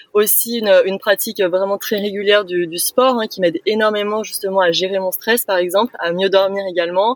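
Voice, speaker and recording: Recorded dry and close with no echo, a woman speaks at a fairly quick pace with ordinary pitch variation. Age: 20s. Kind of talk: casual interview. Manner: hesitant, many fillers.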